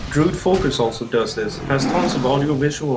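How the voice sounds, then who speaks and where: A man's fairly quick speech is accompanied by music in the background. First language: not English. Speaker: gamer, guide maker. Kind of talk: game tutorial voiceover.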